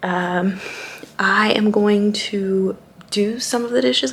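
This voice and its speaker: A whispering woman amid noticeable background noise. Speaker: vlogger. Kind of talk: casual vlog talk. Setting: at home.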